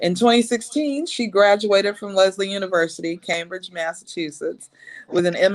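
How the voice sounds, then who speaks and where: In an ordinary speaking voice, a woman talks at a medium pitch. Her pace is moderate and her pitch variation ordinary. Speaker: live show host. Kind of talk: host introduction.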